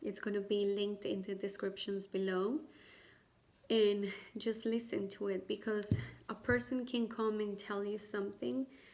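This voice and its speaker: A woman speaks with a non-native accent. Her pitch is medium and her pace moderate. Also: ordinary pitch variation. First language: not English. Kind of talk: personal testimony and advice to camera. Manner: hesitant, many fillers.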